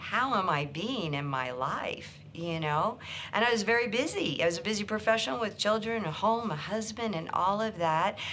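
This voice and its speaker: Amid audible room echo, a woman at medium pitch talks at a moderate pace with lively intonation and hardly any pauses. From rural Kansas, US Midwest. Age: 60s. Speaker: psychotherapist and author. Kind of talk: personal story interview. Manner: hesitant, with fillers and restarts.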